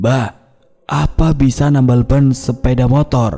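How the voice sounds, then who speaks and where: Putting on a character voice, a man speaks loudly at a medium pitch, with ordinary pitch variation and a fairly slow pace. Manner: slow and loud.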